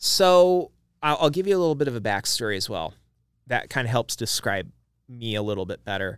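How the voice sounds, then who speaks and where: An American-accented man at medium pitch, fairly quick, with very wide pitch swings, on a very clean recording with a silent background. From Idaho. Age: 40s. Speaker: business owner. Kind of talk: interview.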